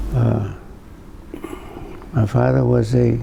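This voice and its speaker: A man with a Rhode Island accent, speaking at a very slow pace over noticeable background noise. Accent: Rhode Island New England. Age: 80s+. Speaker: local elder. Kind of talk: oral history interview. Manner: halting.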